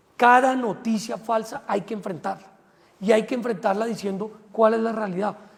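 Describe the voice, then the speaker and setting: Here a man speaks at a moderate pace with fairly even intonation. His pitch is high. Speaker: politician. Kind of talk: interview. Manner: hesitant fillers.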